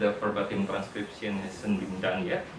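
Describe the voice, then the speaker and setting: A man with a fairly low voice speaks at a moderate pace in a monotone, flat intonation, with audible room echo and noticeable background noise. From Indonesia. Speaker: researcher presenting. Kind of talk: academic presentation. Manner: halting, many fillers.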